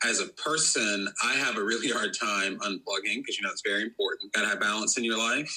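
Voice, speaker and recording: A man speaks with a North Carolina accent over noticeable background noise. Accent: Southern US (North Carolina). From US South, North Carolina. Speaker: PR firm co-founder. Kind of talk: podcast interview.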